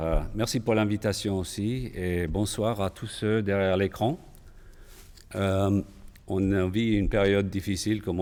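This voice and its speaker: A man talks fairly slowly at a fairly low pitch. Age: 60s. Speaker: patient, cardiac arrest survivor. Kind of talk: testimony. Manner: halting, with hesitations.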